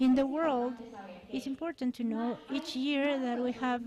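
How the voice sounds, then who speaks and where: A woman with a Mexican accent and a high voice, fairly slow pace and fairly even intonation, amid noticeable background noise. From Mexico. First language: Spanish. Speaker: thoracic surgeon. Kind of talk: conference talk. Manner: halting.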